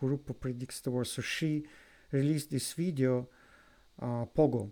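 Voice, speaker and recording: The speaker has a non-native accent and a dark, mellow tone. Pitch varies in an ordinary way on a very clean recording with a silent background. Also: man. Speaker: music reaction youtuber. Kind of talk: video commentary reaction. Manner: halting, with repetitions and fillers.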